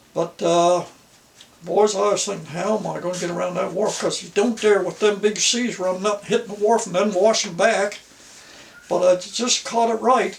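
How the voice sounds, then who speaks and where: Over noticeable background noise, a man speaks in a high pitch with fairly even intonation. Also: moderate pace. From Nova Scotia. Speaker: former fisherman, folk artist. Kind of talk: storytelling interview.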